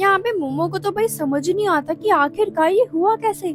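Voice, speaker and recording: The speaker has an enthusiastic tone, with music playing in the background. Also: woman. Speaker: anime explainer voice-over. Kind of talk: anime recap narration in Hindi. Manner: casual, chatty, enthusiastic.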